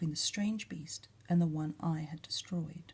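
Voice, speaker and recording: A somewhat breathy woman's voice in an Australian accent. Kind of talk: ASMR story reading.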